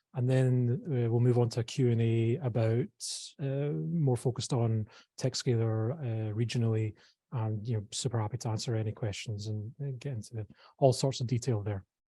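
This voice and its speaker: A man speaks softly at a moderate pace and a medium pitch, his tone dark and mellow. His intonation is fairly even and his voice somewhat breathy. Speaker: tech startup program CEO. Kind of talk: presentation. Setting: live event room with online audience. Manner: soft-spoken; hesitant, many fillers.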